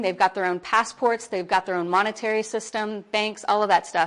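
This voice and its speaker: An American accent with ordinary pitch variation against a quiet background. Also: woman. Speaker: workshop speaker for a persecution charity. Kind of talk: seminar talk. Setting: workshop room with audience. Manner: loud.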